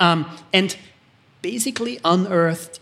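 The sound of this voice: The voice has an Austrian accent and a fairly bright tone. It moves at a fairly slow pace. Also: man.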